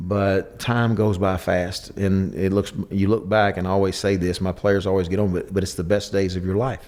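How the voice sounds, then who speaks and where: Speaking at a moderate pace with hardly any pauses, a man keeps a monotone, flat intonation. His pitch is fairly low. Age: 60s. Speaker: former football coach, TV analyst. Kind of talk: interview.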